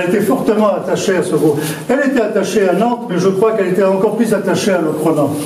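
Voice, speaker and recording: Over noticeable background noise and audible room echo, a man with a high pitch talks at a very fast pace with ordinary pitch variation. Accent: strong southern French. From southern France. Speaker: mayor. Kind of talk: public speech. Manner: unscripted, halting.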